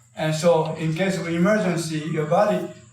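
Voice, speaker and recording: Fairly slow and fairly high for a man, this male voice keeps a fairly even intonation. Audible room echo surrounds it. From Japan. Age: 80s+. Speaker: karate master. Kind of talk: talk to an audience. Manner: halting, many fillers.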